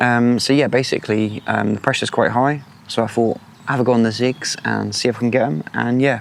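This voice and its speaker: At a fairly quick pace, a man with medium pitch keeps his intonation fairly even and his loudness very even over noticeable background noise. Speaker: angler vlogger. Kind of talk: casual vlog narration. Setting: outdoors. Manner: quiet.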